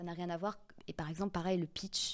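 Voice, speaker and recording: Over a silent background in a very clean recording, a woman speaks at a fairly low pitch in a monotone, flat delivery. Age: 30s. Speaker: public speaking coach. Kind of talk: podcast interview.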